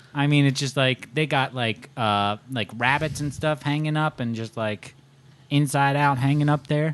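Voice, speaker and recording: A man with a slight Southern US accent, fairly high pitch and fairly even intonation. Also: moderate pace. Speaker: podcast co-host. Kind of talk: casual chat.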